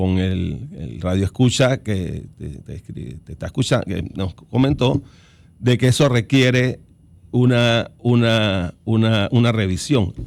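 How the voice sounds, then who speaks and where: A man at a very slow pace. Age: 60s. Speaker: lawyer and political analyst. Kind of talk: radio interview. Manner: halting, many false starts.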